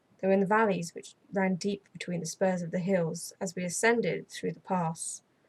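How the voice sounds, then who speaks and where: Somewhat breathy and in an English accent, the speaker keeps a monotone, flat intonation at a moderate pace. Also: woman. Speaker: ASMR storyteller, channel host. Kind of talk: gothic audiobook reading, ASMR.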